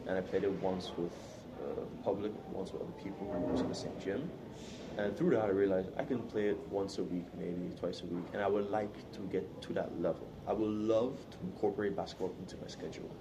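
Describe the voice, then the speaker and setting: The speech comes at a fairly quick pace, with audible room echo and noticeable background noise. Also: man, fairly low pitch for a man, ordinary pitch variation. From Sint Maarten. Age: 20s. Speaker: university student. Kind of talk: interview.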